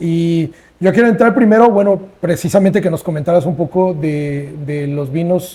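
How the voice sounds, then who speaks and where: A man's high-pitched voice, dark and mellow in tone, at a moderate pace. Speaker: podcast host. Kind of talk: casual interview. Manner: halting, repetitive.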